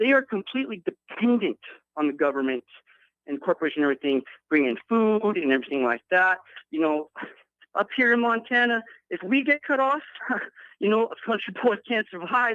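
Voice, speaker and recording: Speaking at a fairly quick pace yet with long, frequent pauses, a man uses a high pitch and very wide pitch swings. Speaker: caller. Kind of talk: phone-in call. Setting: phone call. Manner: halting, many fillers and repetitions.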